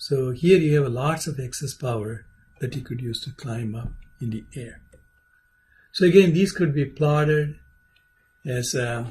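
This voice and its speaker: A somewhat breathy man with a fairly high pitch, at a fairly slow pace with long, frequent pauses, ordinary pitch variation and big swings in loudness. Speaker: aerospace engineering lecturer. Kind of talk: lecture.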